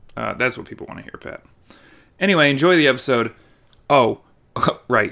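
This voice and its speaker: Bright and sharp in tone, the voice carries vocal fry and big swings in loudness. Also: man, medium pitch for a man, ordinary pitch variation, fairly quick pace. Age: 30s. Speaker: podcast host and war veteran. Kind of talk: casual chat.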